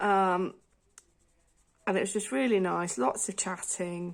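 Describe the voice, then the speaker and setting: A woman speaks with a British accent. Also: very clean recording, silent background. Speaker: colouring video creator. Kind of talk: casual chat.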